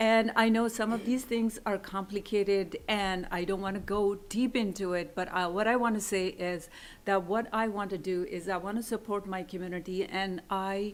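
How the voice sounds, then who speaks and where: Speaking with a non-native accent at a moderate pace, the voice has fairly even intonation and hardly any pauses on a very clean recording with a silent background. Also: woman, medium pitch for a woman. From immigrant to US. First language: not English. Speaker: college instructor and school board candidate. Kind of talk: public comment at board meeting. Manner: halting, with fillers.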